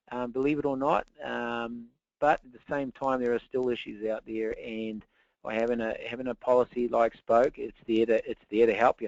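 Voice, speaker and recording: Medium-pitched male speech in a New Zealand accent, monotone and flat in intonation, at a moderate pace. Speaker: insurance specialist. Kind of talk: webinar presentation. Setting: online webinar. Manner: halting, many fillers.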